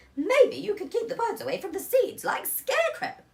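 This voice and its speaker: At an extremely high pitch, a put-on character voice carries on at a moderate pace. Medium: read story. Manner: brisk, bossy.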